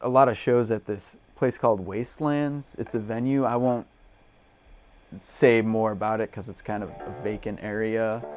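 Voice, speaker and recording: A man's delivery, neither rushed nor slow, carries ordinary pitch variation. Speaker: punk band musician. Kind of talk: interview. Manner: casual, many fillers.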